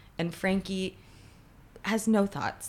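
Keeping a moderate pace and fairly even intonation, a woman talks in a normal speaking voice. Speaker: writer, actor and producer, friend of guest. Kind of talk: casual interview chat.

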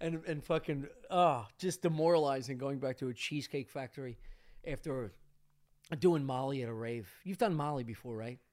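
Here is a man with an ordinary speaking voice and a fairly high pitch. He talks at a moderate pace with ordinary pitch variation. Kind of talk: casual chat. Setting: studio.

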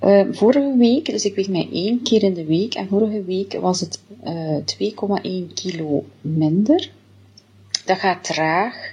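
The voice is somewhat breathy, with a dark, mellow tone and lively intonation. It moves at a very slow pace. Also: woman, medium pitch for a woman. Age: 40s. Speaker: diet product customer giving testimonial. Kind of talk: testimony. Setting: self-recorded video.

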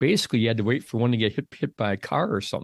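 In a very clean recording with a silent background, a man speaks with an American accent. His medium-pitched voice sounds dry and close, with no echo. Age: 60s. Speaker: outdoor writer. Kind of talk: interview conversation. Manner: halting, many repetitions.

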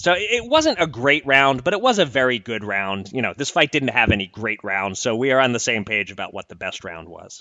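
Speaking at a fairly quick pace with hardly any pauses, a man with an American accent keeps a medium pitch. His pitch swings very widely and his loudness rises and falls sharply. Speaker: podcast host. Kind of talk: casual conversational podcast.

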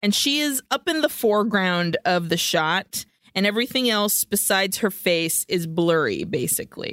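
The plain reading aloud moves with lively intonation.

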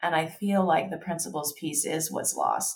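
Speaking with an American accent, a woman has a very deep, low pitch and vocal fry. Her pace is fairly slow, with ordinary pitch variation. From US South, Kentucky. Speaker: designer. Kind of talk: casual interview.

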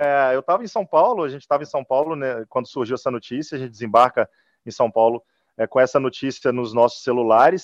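A man at a medium pitch and a very fast pace. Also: ordinary pitch variation. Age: young. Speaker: football club executive. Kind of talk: interview.

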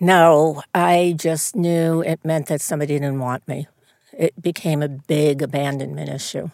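A woman with an American accent speaks at a very deep, low pitch with fairly even intonation. The sound is dry and close, with no echo. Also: fairly slow pace. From New York, the Bronx. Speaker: casting director. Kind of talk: interview conversation. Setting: studio.

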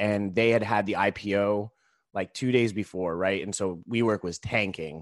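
This is a normal speaking voice at a moderate pace with fairly even intonation. The sound is dry and close with no echo, over a quiet background. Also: man, fairly low pitch for a man. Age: 30s. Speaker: stand-up comedian and social entrepreneur. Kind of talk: casual interview.

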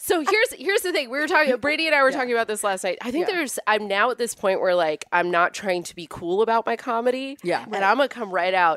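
Over noticeable background noise, a woman with an American accent talks very fast at a fairly high pitch, her pitch swinging very widely. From Northern California (Amador County). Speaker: stand-up comedian. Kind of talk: casual chat.

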